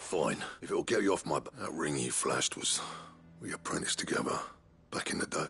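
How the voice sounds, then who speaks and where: With music playing behind him, a man in a put-on character voice sounds raspy, talking at a fairly quick pace broken by long, frequent pauses. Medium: video game. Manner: gruff, blunt.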